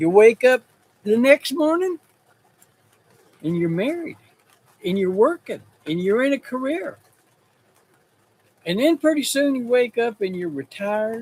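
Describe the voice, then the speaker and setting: A man with a Texas accent speaks fairly slowly at an extremely high pitch, with very wide pitch swings. He takes long, frequent pauses, and the sound is dry and close with no echo. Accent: Texas rural. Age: 70s. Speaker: rancher and livestreamer. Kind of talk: casual livestream chat. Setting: in a shop, livestream. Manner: halting, with many repeats and fillers.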